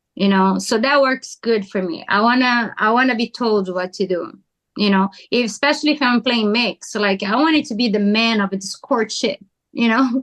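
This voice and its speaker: A woman talks at a moderate pace in a fairly high pitch. Her pitch variation is ordinary. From Brazil. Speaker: pickleball player. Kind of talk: podcast interview. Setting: podcast.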